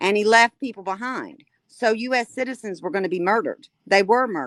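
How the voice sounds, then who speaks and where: With a normal speaking voice, a woman talks at a fairly quick pace in a fairly high pitch, using ordinary pitch variation. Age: 60s. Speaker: caller. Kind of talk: heated debate.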